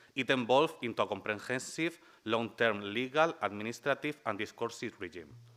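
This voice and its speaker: This man has a strong Spanish accent and a bright, sharp tone. He talks at a fairly quick pace with ordinary pitch variation. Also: medium pitch for a man, very clean recording, silent background. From Spain. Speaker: human rights lawyer and researcher. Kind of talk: conference talk. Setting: conference panel with audience.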